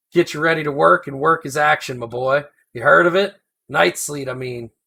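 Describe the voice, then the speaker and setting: In a put-on character voice, a man drawls at a moderate pace with fairly high pitch, on a very clean recording with a silent background. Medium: read story. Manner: rambling, folksy drawl, chuckling.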